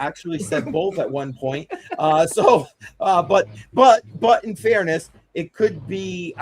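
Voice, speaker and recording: Speaking with an American accent, a man with a high pitch moves at a fairly slow pace. His intonation is lively, with big swings in loudness. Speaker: livestream host.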